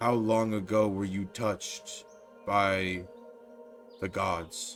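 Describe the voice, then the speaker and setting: A man puts on a character voice with a fairly low pitch and talks at a very slow pace. Clear music plays in the background. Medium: actual play. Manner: solemn, formal.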